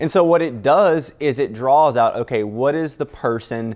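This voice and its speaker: A man speaks with a slight Louisiana accent. His pace is moderate and his pitch varies in an ordinary way. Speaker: news producer. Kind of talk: casual chat.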